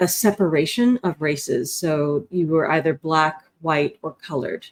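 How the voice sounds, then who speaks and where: A plain, everyday voice from a woman, on the low side of her range, its pitch varying in an ordinary way. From South Africa, Cape Town, then rural North Carolina. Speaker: nonprofit director and speaker. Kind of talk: interview conversation.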